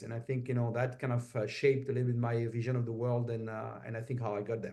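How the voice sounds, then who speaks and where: Speaking at a fairly quick pace, a man has a dark, mellow tone at medium pitch. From France. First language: French. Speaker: semiconductor executive. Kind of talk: interview. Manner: many filler hesitations.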